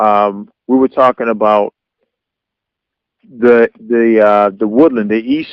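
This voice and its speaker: Man speaking at a very slow pace. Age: 40s. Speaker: radio show host. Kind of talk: radio interview, host questions. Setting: phone line.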